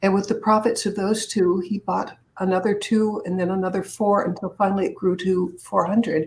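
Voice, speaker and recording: A somewhat breathy woman's voice with an American accent, monotone and flat, at a moderate pace with hardly any pauses. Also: medium pitch for a woman. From Boston area, Massachusetts. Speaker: public speaker and author. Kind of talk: interview.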